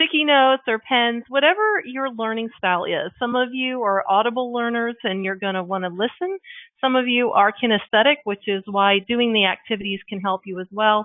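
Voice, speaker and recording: A fairly high-pitched woman with an American accent, at a moderate pace with ordinary pitch variation and hardly any pauses. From US South, Columbia, South Carolina. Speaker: business coach. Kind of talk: webinar presentation. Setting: webinar. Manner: animated.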